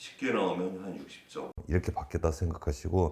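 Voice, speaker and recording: A man speaks with vocal fry. His tone is dark and mellow. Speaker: exam prep lecturer. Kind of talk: lecture.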